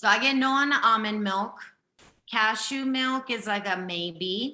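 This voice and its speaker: A woman speaks at a fairly slow pace with a bright, sharp tone. Her pitch sits fairly high and varies in an ordinary way. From Japan. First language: Japanese. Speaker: health intuitive. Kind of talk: live intuitive reading / coaching. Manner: animated, emphatic.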